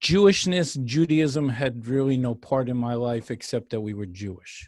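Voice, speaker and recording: A man with an ordinary speaking voice and an American accent, medium in pitch, with lively intonation at a moderate pace, on a very clean recording with a silent background. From US Northeast, New York and New Jersey. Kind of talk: radio interview testimony.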